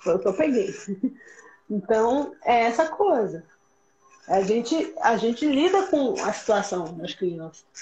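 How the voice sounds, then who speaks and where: A woman's fairly high voice at a very slow pace, with very wide pitch swings and long, frequent pauses. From Pernambuco, Brazil, with Rio ties. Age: 30s. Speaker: educator. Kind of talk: casual chat.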